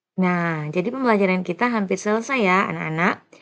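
Against a quiet background comes a plain, everyday voice with ordinary pitch variation. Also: woman. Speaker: primary school English teacher. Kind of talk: tutorial.

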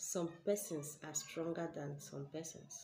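A woman with a Nigerian accent speaks slowly in a fairly low, somewhat breathy voice with fairly even intonation. Light background noise is present. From Nigeria, Ebonyi State. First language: Igbo. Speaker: spiritual teacher and healer; spiritual teacher. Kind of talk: spiritual teaching video. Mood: earnest, explanatory. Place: home room. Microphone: webcam.

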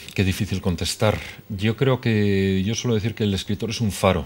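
A man with a fairly low pitch. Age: 30s. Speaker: novelist; guest. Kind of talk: interview. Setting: TV studio. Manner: hesitant. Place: studio.

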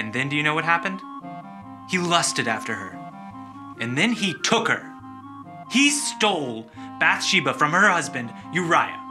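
A man speaks at a moderate pace with long, frequent pauses while clear music plays in the background. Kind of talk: dramatic scripted speech. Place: meeting room.

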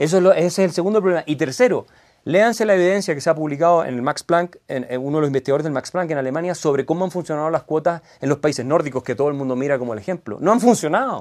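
The pace is very fast. Intonation is lively throughout. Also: man, quiet background. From Chile. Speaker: lawyer and author; lawyer. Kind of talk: interview. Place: studio.

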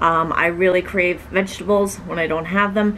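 A woman speaks at a moderate pace with fairly even intonation. Light background noise sits behind her. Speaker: vlogger. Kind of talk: casual vlog chat, Q&A answer. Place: home room. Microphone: camera far.

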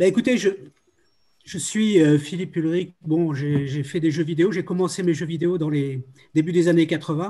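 Over a quiet background, a man with a fairly high pitch and a dark, mellow tone speaks at a moderate pace. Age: 70s. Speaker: video game creator and music producer; video game creator. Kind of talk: round table discussion. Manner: halting, many hesitations. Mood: reflective, nostalgic. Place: home room. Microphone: video call.

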